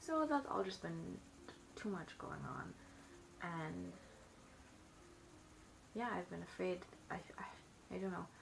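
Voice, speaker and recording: Amid noticeable background noise, a woman mumbles at a fairly slow pace. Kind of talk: casual talk to camera. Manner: mumbled, rambling.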